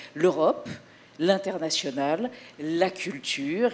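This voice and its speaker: Here a woman is speaking. Noticeable background noise is present. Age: 60s. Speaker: TV presenter. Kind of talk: press conference presentation. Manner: animated.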